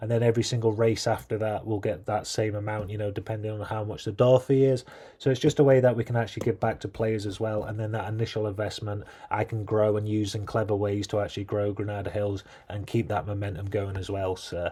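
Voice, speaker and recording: Very fast and somewhat breathy, a man speaks in a fairly low, dark, mellow voice with fairly even intonation. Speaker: gaming youtuber. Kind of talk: casual vlog commentary.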